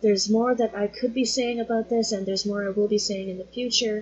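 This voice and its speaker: At a fairly quick pace, a somewhat breathy woman speaks with ordinary pitch variation. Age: 40s. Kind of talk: casual teaching monologue.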